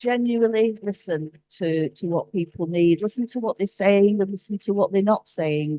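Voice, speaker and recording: A woman with a northern English accent has a dark, mellow tone, recorded dry and close with no echo. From northern England. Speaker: cultural relations executive, conference panelist. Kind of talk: conference panel talk. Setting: conference stage with audience. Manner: halting, with repetitions.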